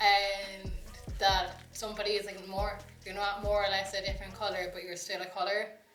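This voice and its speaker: Amid music in the background and audible room echo, a woman with an Irish accent speaks at a medium pitch and moderate pace, with monotone, flat intonation and big swings in loudness. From Ireland. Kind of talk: casual group discussion.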